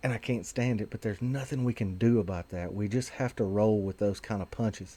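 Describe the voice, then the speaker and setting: A man with a Southern US accent speaks at a fairly quick pace in a dark, mellow tone, his pitch fairly low with ordinary variation. The recording is very clean, with a silent background. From Tennessee. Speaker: vaping advocate video host. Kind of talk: casual video monologue. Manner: hesitant, many fillers.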